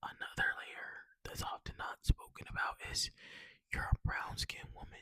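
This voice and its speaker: Whispering at a moderate pace. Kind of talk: ASMR casual talk to camera. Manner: soft-spoken.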